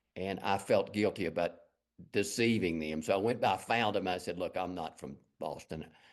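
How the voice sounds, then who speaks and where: A man with a strong Texas accent speaks in a very deep, low pitch at a moderate pace, with ordinary pitch variation. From West Texas, Lubbock. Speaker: fine artist. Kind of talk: interview.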